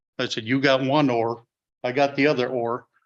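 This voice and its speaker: A man speaks in a northern Wisconsin accent at a medium pitch. His delivery is monotone and flat at a moderate pace. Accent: Upper Midwest (northern Wisconsin). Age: old. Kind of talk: formal welcome address. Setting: public board meeting. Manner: loud; halting, many fillers.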